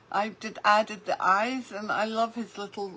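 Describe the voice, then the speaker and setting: At a very slow pace, a woman speaks in a fairly high voice. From United Kingdom (born in Lebanon). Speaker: craft artist. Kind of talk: live craft tutorial. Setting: livestream in a Facebook group.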